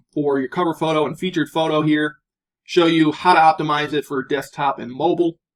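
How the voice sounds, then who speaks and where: At a moderate pace, a man with a fairly high pitch speaks in a normal speaking voice with fairly even intonation. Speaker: online course instructor. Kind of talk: tutorial.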